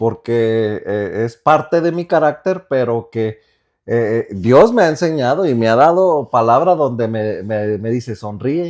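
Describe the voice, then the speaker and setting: Against a quiet background, a man with a medium pitch speaks at a fairly slow pace, his intonation lively. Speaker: podcast co-host. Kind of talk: casual chat. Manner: sounds angry when he isn't.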